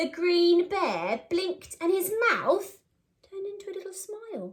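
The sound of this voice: Speaking at a fairly slow pace, a woman with an extremely high pitch makes big pitch swings.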